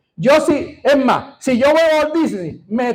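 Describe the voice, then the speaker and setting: Pitched extremely high, a man speaks at a fairly slow pace. His tone is animated. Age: 60s. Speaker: pastor. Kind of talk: sermon. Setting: church.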